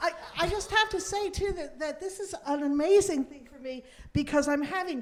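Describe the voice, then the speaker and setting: Lively intonation marks this woman's speech. Her tempo is moderate. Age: 60s. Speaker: actress and singer. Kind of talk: live podcast chat with audience. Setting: stage with audience. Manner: halting.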